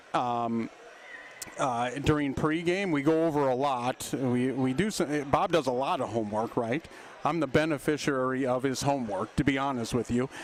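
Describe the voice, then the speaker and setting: This man has a normal speaking voice, with a medium pitch, ordinary pitch variation and a moderate pace. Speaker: basketball play-by-play announcer. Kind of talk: live sports commentary sign-off.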